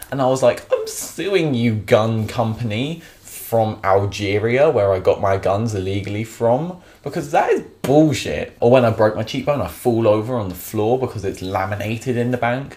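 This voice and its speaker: A man with a southern English accent speaks at a medium pitch in an animated tone, with ordinary pitch variation. Noticeable background noise runs underneath. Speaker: vlogger. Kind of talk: comedic vlog rant. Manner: sarcastic.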